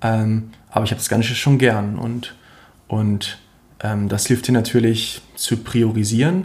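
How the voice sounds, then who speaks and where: This man speaks at a medium pitch, his voice somewhat breathy. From central Germany (Harz, Lower Saxony). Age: 20s. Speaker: ultra trail runner. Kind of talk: interview. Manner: hesitant with fillers and repetitions.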